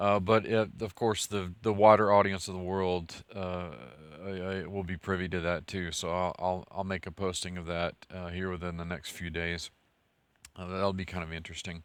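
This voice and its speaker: A man talks with a West Texas accent. His very deep, low voice stays monotone and flat. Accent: West Texas drawl. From West Texas (Merkel). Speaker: scholar and channel host. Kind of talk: casual video update. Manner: halting, many fillers and repetitions.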